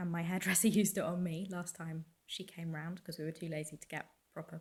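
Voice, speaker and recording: Her voice somewhat breathy and fairly low in pitch, a woman speaks at a very fast pace in a monotone, flat intonation. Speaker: dog groomer. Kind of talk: casual talk to camera.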